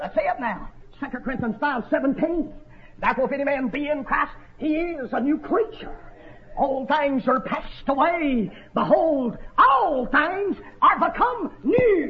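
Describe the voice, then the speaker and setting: Over noticeable background noise, a man with an American accent speaks fairly slowly in an extremely high voice with lively intonation. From North Georgia, US South. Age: 30s. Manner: animated; emphatic, repetitive, exhortative.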